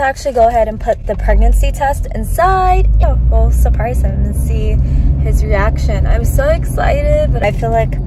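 Loud background noise surrounds a woman speaking at a moderate pace, with a dry sound and no echo. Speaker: vlogger. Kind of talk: casual vlog chat. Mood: excited, emotional. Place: car. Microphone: phone near.

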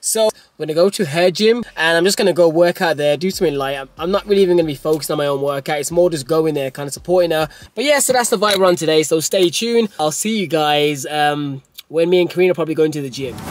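A man speaks at a very fast pace. The sound is dry with no echo. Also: ordinary pitch variation. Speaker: fitness vlogger. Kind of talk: casual vlog chat. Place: car.

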